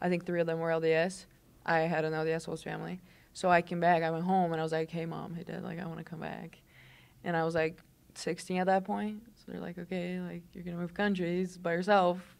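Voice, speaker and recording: Big swings in loudness mark this woman's very fast speech in a Portuguese accent. Her pitch is fairly low and her intonation monotone and flat. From southern Brazil, Londrina. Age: 20s. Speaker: college basketball player. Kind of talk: casual interview chat.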